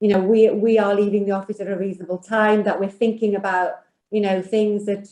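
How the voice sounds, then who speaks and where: A woman with a Welsh accent talks at a fairly quick pace, her fairly high voice dark and mellow in tone with monotone, flat intonation. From Wales. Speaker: financial services executive. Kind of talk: panel discussion.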